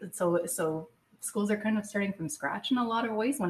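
A woman speaks at a moderate pace in a somewhat breathy voice with ordinary pitch variation. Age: 40s. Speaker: cancer patient and advocate. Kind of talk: casual chat. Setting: studio.

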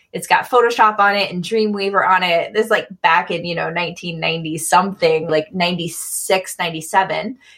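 A woman with an American accent uses an ordinary speaking voice, pitched fairly low, and talks at a fairly slow pace with fairly even intonation and hardly any pauses. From US Midwest, Michigan. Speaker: multimedia artist and graphic designer. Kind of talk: casual interview.

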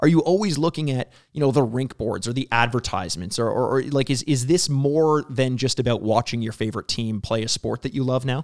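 Recorded dry and close with no echo and a silent background, a man speaks very fast at a medium pitch with ordinary pitch variation. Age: 30s. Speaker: podcast host. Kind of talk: interview.

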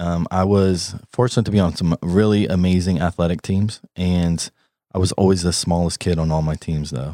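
Very deep and low in pitch, a man speaks with fairly even intonation. The sound is dry and close with no echo, on a very clean recording with a silent background. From Columbus, Ohio. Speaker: fitness trainer. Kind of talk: interview.

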